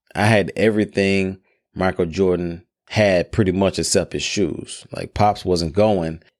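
With an American accent, a man speaks slowly-ish in a very deep, low voice and fairly even intonation. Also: very clean recording, silent background. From Memphis, Tennessee (US South). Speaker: podcast host. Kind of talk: personal storytelling monologue.

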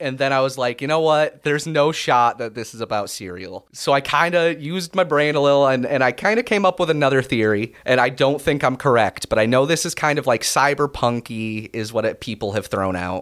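A man speaks at a moderate pace in an ordinary speaking voice. His medium pitch carries lively intonation. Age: 20s. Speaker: podcaster. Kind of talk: casual chat.

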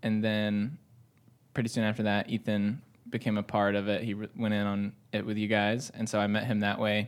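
A man with a plain, everyday voice, medium pitch and moderate pace. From US South, north Georgia. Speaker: coffee roaster. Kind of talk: casual chat.

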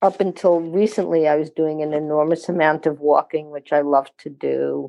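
A woman talks at a moderate pace with an American accent. Her pitch is fairly low, with ordinary pitch variation. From US Maryland. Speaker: senior interviewee. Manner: outspoken.

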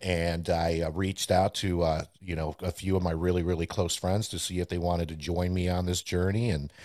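A man with a very deep, low voice speaks at a fairly quick pace. The recording is very clean, with a silent background. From Puerto Rico, then upstate New York. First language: Spanish. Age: 40s. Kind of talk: casual interview chat.

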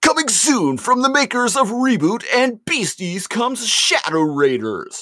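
The pitch is fairly high. The voice is a put-on character voice. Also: moderate pace. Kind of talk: announcer voice. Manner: promotional, hyped announcer delivery.

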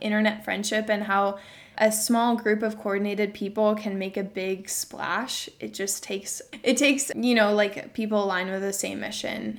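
A woman talks in a normal speaking voice at medium pitch, moving at a fairly quick pace with fairly even intonation. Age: 20s. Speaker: venture capital investor and author. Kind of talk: casual interview chat.

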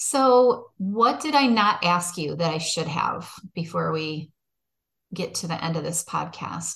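A woman's fairly low voice with vocal fry, in an American accent, at a fairly slow pace with lively intonation. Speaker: podcast host. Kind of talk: interview. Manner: animated.

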